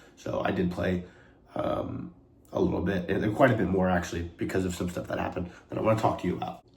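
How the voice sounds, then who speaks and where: A man's very deep, low voice with an American accent, very fast pace and fairly even intonation, plus audible room echo and noticeable background noise. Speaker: vlogger and college athlete. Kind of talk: casual vlog talk. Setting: outdoors playing disc golf. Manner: rambling, many fillers.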